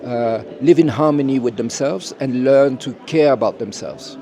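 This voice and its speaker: Noticeable background noise sits under this clip. A man talks at a moderate pace and fairly high pitch. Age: 70s. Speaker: educator. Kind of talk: interview. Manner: halting, many fillers.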